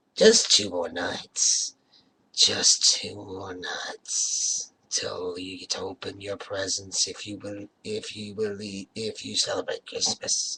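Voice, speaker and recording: Raspy and very slow, a man performs a put-on character voice with a dry, close sound and no echo. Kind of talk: spooky fireside storytelling host. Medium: read story. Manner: theatrical, rambling.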